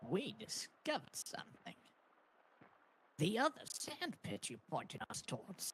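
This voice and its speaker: A man uses a put-on character voice at a high pitch. He speaks at a moderate pace with long, frequent pauses. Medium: game stream.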